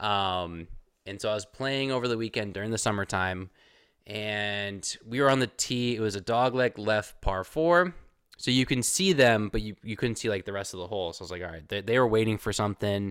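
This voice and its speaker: On a very clean recording with a silent background, a man speaks in a plain, everyday voice, fairly low in pitch with ordinary pitch variation, at a fairly quick pace. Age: 30s. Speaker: podcast host. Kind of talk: casual chat.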